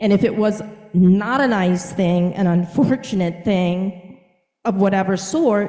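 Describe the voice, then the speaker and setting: The speaker talks at a fairly slow pace with ordinary pitch variation and audible room echo. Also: woman. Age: 60s. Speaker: counselor / mental health professional. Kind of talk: lecture. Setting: video call. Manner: conversational, with fillers.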